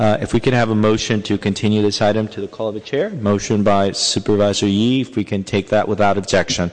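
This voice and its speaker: With noticeable background noise behind him, a man talks very fast with hardly any pauses, in a fairly low pitch and monotone, flat intonation. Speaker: city council committee chair. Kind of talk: public meeting chairing. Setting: council chamber.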